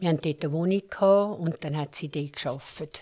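A woman's fairly low voice with a dark, mellow tone, fairly even intonation and a moderate pace, on a very clean recording with a silent background. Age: 70s. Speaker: interviewee telling her life story. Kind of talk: life story interview.

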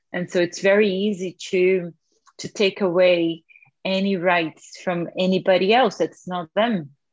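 At a fairly slow pace, a woman speaks with a Portuguese accent, her medium-pitched voice flat and monotone. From Brazil, northeastern state of Alagoas. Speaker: visual artist and researcher. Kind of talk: interview.

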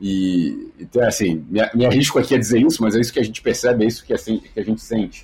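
A man speaks at a fairly quick pace. His loudness stays very even. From Rio de Janeiro, Brazil. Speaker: sports media executive. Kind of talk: interview.

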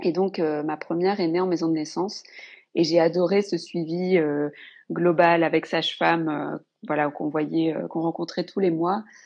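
This woman talks at a fairly slow pace in a fairly low pitch, her intonation monotone and flat. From northern France. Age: 30s. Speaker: mother sharing birth story. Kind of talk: personal testimony.

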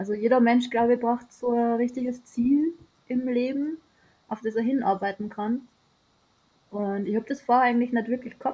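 A woman's voice has a dark, mellow tone and sounds somewhat breathy. Her pitch is fairly high and her intonation fairly even. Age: 30s. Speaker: sailor. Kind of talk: interview.

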